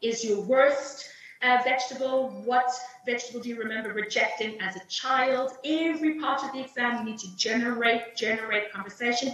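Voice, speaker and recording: Speaking at a fairly quick pace with ordinary pitch variation, a woman with a South African accent has a fairly high pitch, and the recording carries noticeable background noise and audible room echo. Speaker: English teacher trainer and exam invigilator. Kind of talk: teacher training webinar.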